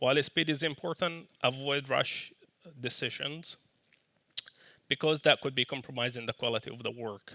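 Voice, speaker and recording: A man with a non-native accent speaks at a medium pitch and a moderate pace, his intonation fairly even, with long, frequent pauses in a dry, close recording free of echo. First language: not English. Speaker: software team lead. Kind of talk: conference talk. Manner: casual.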